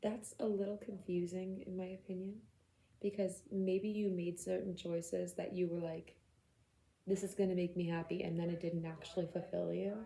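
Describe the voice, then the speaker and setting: This woman has a dark, mellow tone that is somewhat breathy. She talks at a moderate pace with fairly even intonation. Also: medium pitch for a woman. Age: 30s. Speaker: tarot reader. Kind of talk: tarot reading to camera. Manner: casual, conversational.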